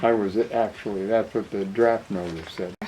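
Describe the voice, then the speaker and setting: A man's voice with fairly even intonation, over noticeable background noise. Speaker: war veteran. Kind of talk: interview answer.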